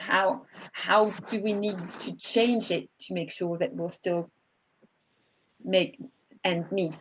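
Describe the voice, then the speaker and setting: The speaker has a French accent and vocal fry. The pace is fairly slow. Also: woman. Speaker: webinar moderator, wine institute co-founder. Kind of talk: panel webinar moderation. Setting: online webinar.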